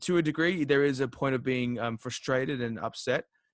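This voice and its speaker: A man with an Australian accent speaks at a moderate pace in a medium pitch, recorded dry and close with no echo. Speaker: podcast host. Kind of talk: interview.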